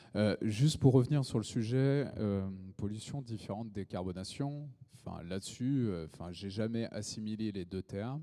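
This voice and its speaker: A man speaks with a dark, mellow tone and a fairly low pitch. He keeps a moderate pace with ordinary pitch variation. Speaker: project developer. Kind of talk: panel debate. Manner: loud.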